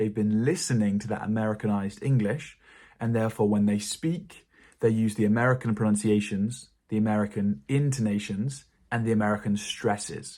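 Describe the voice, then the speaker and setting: This man speaks with a British accent at a fairly quick pace, his pitch fairly low with ordinary variation. The recording is very clean, with a silent background. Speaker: English teacher. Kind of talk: tutorial.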